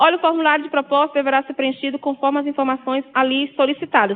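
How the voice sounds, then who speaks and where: A woman's high-pitched voice. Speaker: university lecturer. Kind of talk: lecture.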